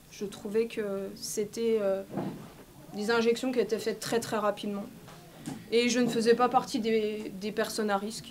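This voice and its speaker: Against noticeable background noise, a woman with a fairly high pitch speaks in a monotone, flat way at a fairly slow pace with long, frequent pauses. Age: 40s. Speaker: medico-social worker, vaccine injury victim. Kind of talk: testimony. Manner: halting, with many fillers.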